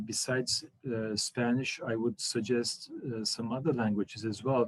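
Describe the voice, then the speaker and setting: Speaking at a fairly slow pace, a man with a Turkish accent has a medium pitch. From Turkey, raised partly in Germany. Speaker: diplomat. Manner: hesitant, many fillers.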